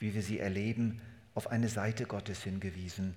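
A man speaks with a somewhat breathy voice and fairly even intonation. Room echo is audible. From Germany. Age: 70s. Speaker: pastor. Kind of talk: sermon.

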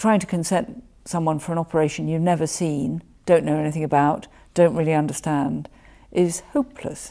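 A woman with a very deep, low pitch and a dark, mellow tone talks at a fairly quick pace with ordinary pitch variation, in a very clean recording with a silent background. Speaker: surgeon and college president. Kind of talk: interview.

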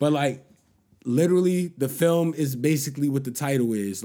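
A man's fairly high-pitched, dark and mellow voice at a fairly slow pace. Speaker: podcast host. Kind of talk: casual banter. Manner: casual, slangy.

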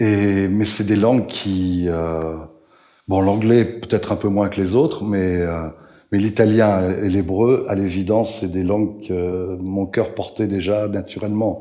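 The speech moves at a very slow pace with fairly even intonation, and room echo is audible. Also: man, fairly low pitch for a man. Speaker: writer and translator. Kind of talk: public talk at a literary event. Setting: stage with audience.

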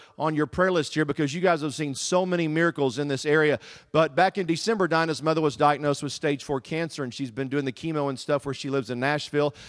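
A man with a Southern US accent talks at a very fast pace in an animated tone, his pitch fairly high with ordinary variation. The sound is dry and close with no echo, against a quiet background. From US South, Texas. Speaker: guest preacher. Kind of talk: sermon. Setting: church with congregation.

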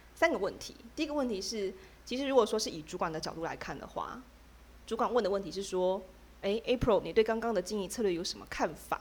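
A woman talks at a very fast pace and a medium pitch with lively intonation. Her loudness swings widely. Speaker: podcast co-host, workplace storyteller.

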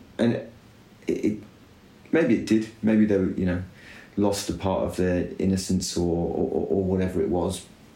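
Quiet and somewhat breathy, a man speaks at a moderate pace with long, frequent pauses, his fairly low, dark, mellow voice carrying fairly even intonation and audible room echo. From UK. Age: 30s. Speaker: cycling team director. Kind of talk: casual chat. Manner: quiet and considered.

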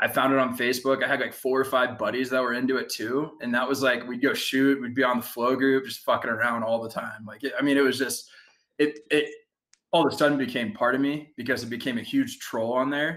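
In a normal speaking voice, a man with a medium pitch and an American accent talks at a fairly quick pace with fairly even intonation. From US Midwest (Ohio, Kansas City). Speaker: former online group admin. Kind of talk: casual chat.

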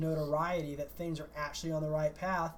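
Someone with an American accent talks at a fairly quick pace over noticeable background noise. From US South. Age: 40s. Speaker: sports podcast co-host. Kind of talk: casual chat.

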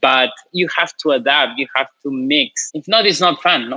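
A man with a Peruvian accent, speaking at a moderate pace. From Peru, Lima. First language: Spanish. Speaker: chef. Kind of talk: casual interview.

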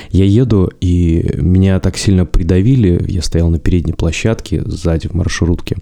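A man with a very deep, low pitch speaks at a moderate pace with hardly any pauses. His intonation stays fairly even over noticeable background noise. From Russia, Zabaikalsky region (Chita, village). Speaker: podcast host. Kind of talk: solo podcast monologue.

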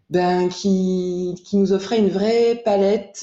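A woman at a medium pitch and a very slow pace. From France, Jura. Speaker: illustrator. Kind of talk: casual interview. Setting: remote recording. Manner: hesitant, many fillers.

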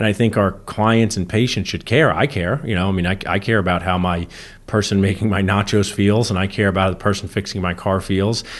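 Here a man with a normal speaking voice talks fairly quickly at a fairly low pitch. His intonation is fairly even, and the background is quiet. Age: 40s. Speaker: dentist and podcast co-host. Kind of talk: casual chat.

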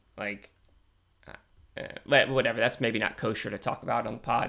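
A man with vocal fry talks at a moderate pace on a very clean recording with a silent background. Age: 30s. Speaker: sports podcast host. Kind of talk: casual solo commentary. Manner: halting, many fillers and restarts.

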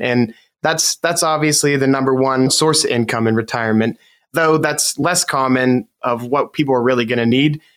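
Using a plain, everyday voice, a man with an American accent talks at a fairly quick pace, his pitch fairly high with ordinary variation. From Western Pennsylvania. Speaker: financial advisor. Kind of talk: radio talk show interview.

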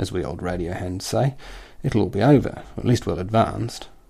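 Speaking at a fairly quick pace in an Australian accent, a man uses a dark, mellow tone with vocal fry. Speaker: satirical columnist. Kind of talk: scripted satirical reading.

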